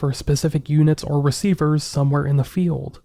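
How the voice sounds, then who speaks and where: A man's somewhat breathy voice with a dark, mellow tone at a fairly quick pace. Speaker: podcast host. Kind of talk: mystery podcast narration.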